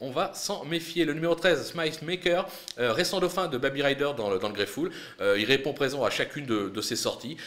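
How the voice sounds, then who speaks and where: Lively in intonation, a man speaks at a fairly high pitch. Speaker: horse racing tipster. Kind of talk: race preview with tips and betting advice, not a live call. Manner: brisk, confident, measured tipster delivery, punchy verdicts; occasional hesitations, fillers like 'euh'.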